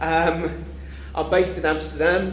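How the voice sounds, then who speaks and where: Fairly slow speech from a man with a London accent, with audible room echo and noticeable background noise. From England, London. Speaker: freelance web developer, conference speaker. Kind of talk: conference talk. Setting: conference room with audience.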